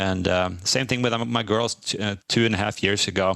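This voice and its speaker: A man speaks with a Swedish accent. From Sweden. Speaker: divorced father sharing his story. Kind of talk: interview. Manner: halting, many fillers.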